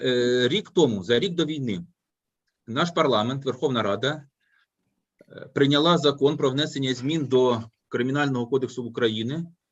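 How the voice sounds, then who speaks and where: At a fairly quick pace, a speaker with a Ukrainian accent uses ordinary pitch variation. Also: man, medium pitch for a man. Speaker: law professor. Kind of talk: academic discussion. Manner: halting.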